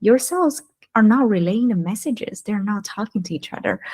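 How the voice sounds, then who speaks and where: With a non-native accent, a woman speaks with ordinary pitch variation. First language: not English. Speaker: wellness entrepreneur. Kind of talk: interview. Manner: halting.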